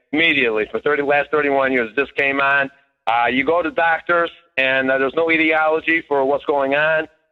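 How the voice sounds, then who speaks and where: Music plays behind a man speaking at a moderate pace. His intonation is fairly even. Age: 60s. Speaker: caller. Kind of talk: testimony. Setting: phone call.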